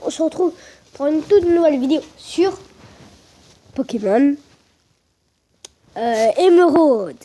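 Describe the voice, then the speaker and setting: This woman speaks loudly in a dark, mellow tone with lively intonation. She leaves long, frequent pauses. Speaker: gaming youtuber. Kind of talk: let's play commentary. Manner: hesitant, many fillers; trying to speak loudly.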